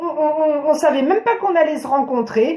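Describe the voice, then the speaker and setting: In a room with audible echo, a woman speaks at a high pitch. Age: 40s. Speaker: therapist and wellbeing vlogger. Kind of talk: improvised talk to camera. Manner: animated.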